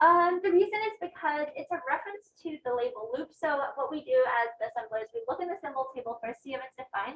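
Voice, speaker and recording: At a very fast pace, a woman speaks in a high pitch with very wide pitch swings. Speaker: teaching assistant. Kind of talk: lecture. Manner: loud. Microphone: no microphone, projecting voice.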